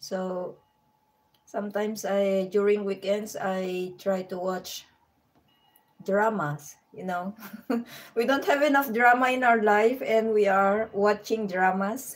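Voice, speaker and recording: Ordinary pitch variation carries speech that unfolds at a very slow pace. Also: woman, medium pitch for a woman. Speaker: vlogger. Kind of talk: live stream chat. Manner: halting.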